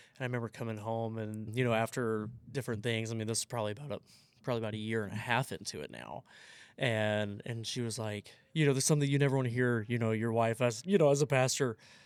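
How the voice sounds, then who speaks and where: In an American accent, this very fast speech holds a fairly even intonation over a very clean recording with a silent background. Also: man, medium pitch for a man. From US South. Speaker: pastor. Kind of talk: casual chat. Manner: halting.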